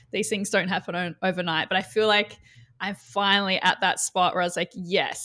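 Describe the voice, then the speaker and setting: A woman with an Australian accent at a fairly quick pace, on a very clean recording with a silent background. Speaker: marketing coach. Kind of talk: casual interview chat.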